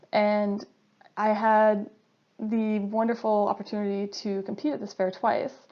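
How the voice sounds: A woman speaks fairly slowly with an American accent. Her medium-pitched voice shows little pitch movement.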